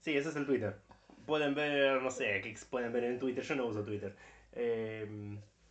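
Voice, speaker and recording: A medium-pitched man at a fairly slow pace, with audible room echo and noticeable background noise. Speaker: podcast co-host. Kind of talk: casual chat.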